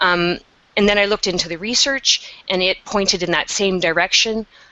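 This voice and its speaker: A woman with a Canadian accent speaks at a moderate pace with ordinary pitch variation, against noticeable background noise. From Canada. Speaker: meditation teacher. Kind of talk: webinar interview.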